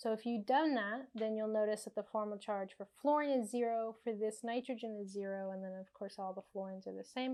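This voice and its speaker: A woman speaks in a normal speaking voice with hardly any pauses. Her intonation is fairly even. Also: fairly high pitch for a woman, fairly quick pace. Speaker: chemistry tutor. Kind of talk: tutorial. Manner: casual.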